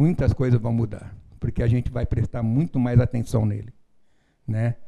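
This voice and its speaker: Dark, mellow tone in a man's somewhat breathy voice. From São Paulo, Brazil. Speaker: relative of a missing person. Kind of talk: interview.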